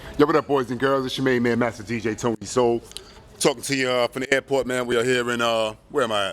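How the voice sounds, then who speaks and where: Noticeable background noise is present. A man speaks at medium pitch in a flat monotone. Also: fairly quick pace. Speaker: DJ. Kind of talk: casual vlog. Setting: airport. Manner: loud.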